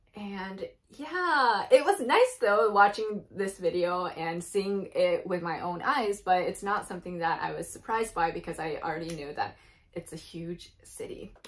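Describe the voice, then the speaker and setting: A woman with a Japanese accent at a fairly slow pace, big swings in loudness, and noticeable background noise. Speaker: YouTube reaction video creator. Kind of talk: casual vlog reaction commentary. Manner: casual, chatty with fillers.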